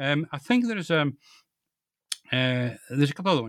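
A speaker with a Scottish accent is captured in a very clean recording with a silent background and a dry, close sound with no echo. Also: man. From Scotland, East Central (East Lothian, Fife, Perthshire). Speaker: author, retired biologist. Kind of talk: interview. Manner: halting, many fillers and repetitions.

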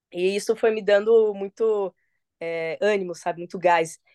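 Here a woman talks at medium pitch with fairly even intonation. The sound is dry and close, without echo. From Paraná, Brazil. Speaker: MMA fighter. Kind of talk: casual interview. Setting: phone call.

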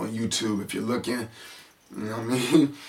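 A man with an American accent talks at medium pitch, with noticeable background noise present. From San Francisco, US. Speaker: podcast host. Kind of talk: casual solo monologue. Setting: home video recording on camera. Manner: animated.

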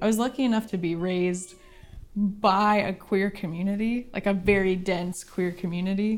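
A woman's normal speaking voice with an American accent, medium pitch, fairly even intonation and a moderate pace. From rural Oregon. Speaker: illustrator. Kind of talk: interview.

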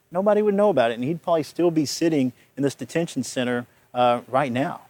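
In a plain, everyday voice, a man speaks at a fairly high pitch with ordinary pitch variation. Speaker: defense attorney. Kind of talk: TV news interview.

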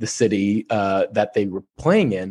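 Against a quiet background, a man speaks with a Californian accent in a dry, close sound with no echo. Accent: Californian American. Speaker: sports journalist. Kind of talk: interview. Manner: halting, repeats words.

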